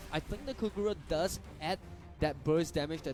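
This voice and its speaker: There is music in the background. A man talks over it at a fairly high pitch. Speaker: esports shoutcaster (analyst/co-commentator). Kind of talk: esports match commentary.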